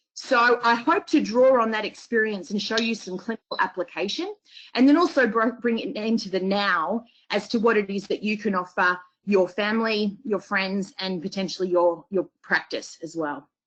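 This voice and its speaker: A woman with an Australian accent, fairly high pitch, lively intonation and a moderate pace. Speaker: homeopath. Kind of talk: lecture.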